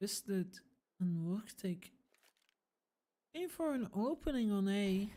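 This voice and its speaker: Very slowly, a woman speaks. Her tone is dark and mellow. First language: not English. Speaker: esports caster. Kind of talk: live commentary; casual chat. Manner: animated.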